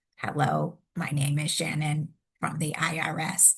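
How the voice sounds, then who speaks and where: This put-on character voice sounds robotic at a middle pitch. It moves at a fairly slow pace. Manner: imitation.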